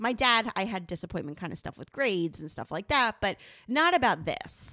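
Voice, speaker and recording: This woman's voice has a bright, sharp tone at a medium pitch, with very wide pitch swings. She talks at a moderate pace on a very clean recording with a silent background. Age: 40s. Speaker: podcast co-host. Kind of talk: casual chat.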